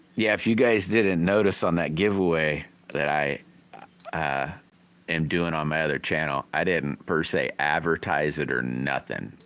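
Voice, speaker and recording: Vocal fry at a moderate pace. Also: man, very deep, low pitch for a man, ordinary pitch variation. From rural area, small country town. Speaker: livestreaming slingshot builder. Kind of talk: casual live stream chat.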